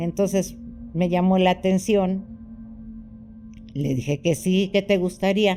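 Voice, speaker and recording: With music in the background, a woman speaks fairly slowly at a medium pitch, with ordinary pitch variation and long, frequent pauses. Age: 70s. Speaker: orphanage abuse survivor. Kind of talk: testimony.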